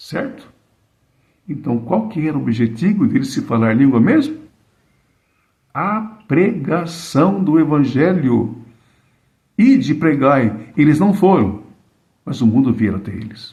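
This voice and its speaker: A man talks at a fairly slow pace with long, frequent pauses, his somewhat breathy voice dark and mellow, fairly high in pitch and swinging very widely, with audible room echo around him. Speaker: preacher. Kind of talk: sermon. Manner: slow, deliberate.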